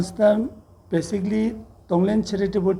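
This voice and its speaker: A man with a non-native accent speaks in a dark, mellow tone. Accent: non-native Hindi. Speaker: Buddhist monk, charity founder. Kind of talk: press statement. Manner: halting.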